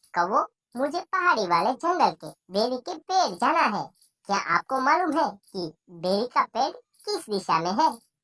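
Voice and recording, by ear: A cartoonish character voice, female-sounding and high-pitched, with very wide pitch swings at a moderate pace.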